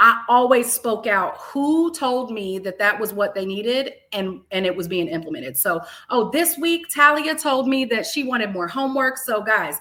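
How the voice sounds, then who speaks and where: A woman speaks loudly at a high pitch and a moderate pace, her tone animated and her intonation lively. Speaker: math educator and leader. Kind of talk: interview.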